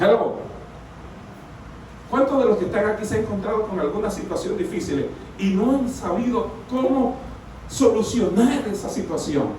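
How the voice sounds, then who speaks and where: Amid noticeable background noise and audible room echo, a man with a high pitch and ordinary pitch variation talks at a moderate pace with long, frequent pauses. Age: 60s. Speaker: pastor. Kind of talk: sermon.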